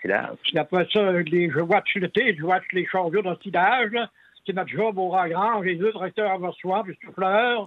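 High voice of a man, with ordinary pitch movement. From Quebec, Lac-Saint-Jean. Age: 80s+. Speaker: farmer. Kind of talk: phone interview. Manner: halting.

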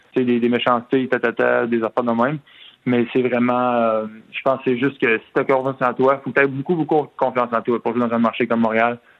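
Talking at a fairly quick pace, a man holds a medium pitch with monotone, flat intonation. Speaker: retired hockey player. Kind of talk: phone interview. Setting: phone call. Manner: halting, many repetitions.

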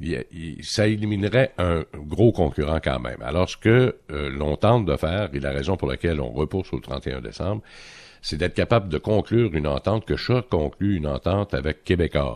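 A man with a very deep, low pitch and vocal fry speaks at a moderate pace with lively intonation. The sound is dry and close, with no echo. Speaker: economics columnist. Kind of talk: radio interview segment. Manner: hesitant with many fillers.

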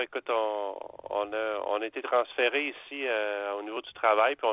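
An unremarkable speaking voice from a man, fairly low in pitch, with fairly even intonation and a moderate pace. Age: 40s. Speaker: radio caller. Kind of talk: phone-in chat. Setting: phone call.

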